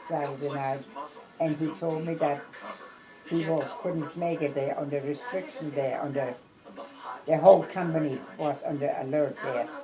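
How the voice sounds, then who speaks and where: This woman speaks at a moderate pace with a very deep, low pitch and ordinary pitch variation. Music plays in the background. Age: 80s+. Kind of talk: family storytelling interview.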